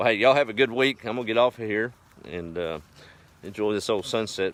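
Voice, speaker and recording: A man with a Texas accent and a relaxed tone. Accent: Texas drawl. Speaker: rural vlogger. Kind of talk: casual live stream chat. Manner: relaxed, folksy.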